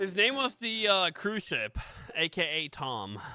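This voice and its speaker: A man talks at a moderate tempo. Music sounds behind him. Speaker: gaming streamer. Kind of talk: live stream chat. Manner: casual, halting with repetitions.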